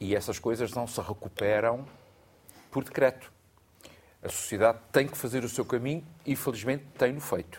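Pausing long and often, a man with a medium pitch speaks at a moderate pace with fairly even intonation. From Portugal, Azores (Terceira island). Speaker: literature professor and essayist. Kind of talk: studio panel discussion. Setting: studio.

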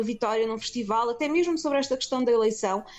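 A high-pitched woman at a very fast pace, with ordinary pitch variation. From Portugal, Lisbon. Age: 30s. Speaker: film producer. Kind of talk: interview.

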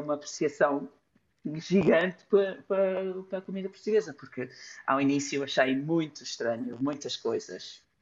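A woman speaks at a very deep, low pitch with lively intonation. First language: English (speaking Portuguese). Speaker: illustrator. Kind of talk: casual chat. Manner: halting.

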